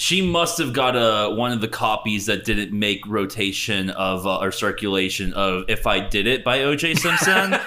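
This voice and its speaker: A man's lively intonation at a moderate pace, hardly any pauses and very even loudness, over noticeable background noise. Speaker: co-host. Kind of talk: casual chat. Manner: joking, bantering.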